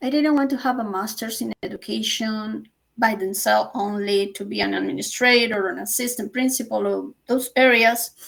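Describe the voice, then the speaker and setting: A woman talks with a Colombian accent at a moderate pace. She hardly pauses at all. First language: Spanish. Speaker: author and teacher. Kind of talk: interview.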